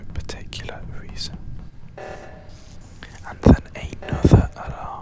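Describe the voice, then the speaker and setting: Someone whispers in a calm tone with a British accent. Noticeable background noise sits behind the voice. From United Kingdom. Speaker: ASMR gaming creator. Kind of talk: ASMR gaming commentary. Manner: whispered; calm, relaxing.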